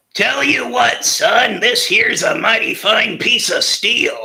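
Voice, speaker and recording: A man adopts a put-on character voice and talks fairly slowly. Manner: gruff, warm.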